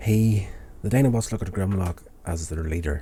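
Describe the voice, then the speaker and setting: At a moderate pace, a man speaks in a dark, mellow, somewhat breathy tone with ordinary pitch variation. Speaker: TV episode reviewer, vlogger. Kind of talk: casual review recap. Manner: casual with frequent fillers.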